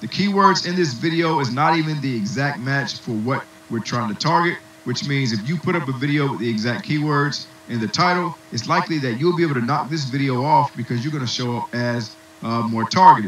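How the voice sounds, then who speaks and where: A man talks at a fairly quick pace and a fairly high pitch, with ordinary pitch variation, amid noticeable background noise. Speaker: online marketing instructor. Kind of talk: webinar tutorial. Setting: webinar with muted attendees. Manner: fast.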